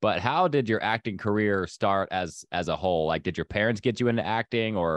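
A man talks at a fairly quick pace in a fairly low pitch. The background is quiet and the sound dry, with no echo. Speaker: podcast host. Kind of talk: casual interview chat. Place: home room. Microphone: studio mic.

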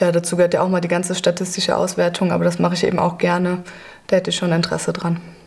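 Talking at a very fast pace, a woman keeps a monotone, flat intonation. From western Germany. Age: 20s. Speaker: university student. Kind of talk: casual interview. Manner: hesitant, many fillers. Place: classroom.

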